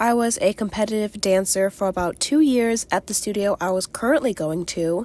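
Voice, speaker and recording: A woman in an American accent with an unremarkable speaking voice, ordinary pitch variation and a moderate pace, on a very clean recording with a silent background. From Virginia, US. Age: young. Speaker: crafter and small business owner. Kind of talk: casual chat while crafting.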